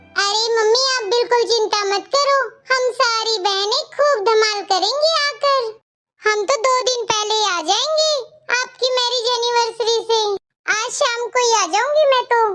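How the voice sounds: A cartoonish character voice moves at a moderate pace with ordinary pitch variation. Its loudness stays very even. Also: woman, extremely high pitch for a woman.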